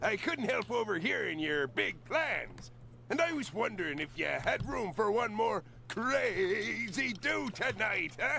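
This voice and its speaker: A cartoonish character voice moves at a fairly slow pace, with clear background noise behind it. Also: man, high pitch for a man. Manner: gravelly, salty.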